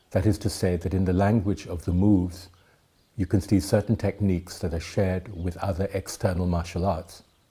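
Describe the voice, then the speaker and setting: Delivered at a fairly quick pace, the voice has a dark, mellow tone, a somewhat breathy quality and monotone, flat intonation. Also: man, very deep, low pitch for a man. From Thailand, educated in the UK. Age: 70s. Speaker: tai chi teacher. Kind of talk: lecture.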